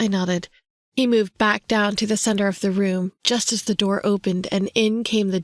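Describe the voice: Over a quiet background, this is plain reading aloud with fairly even intonation.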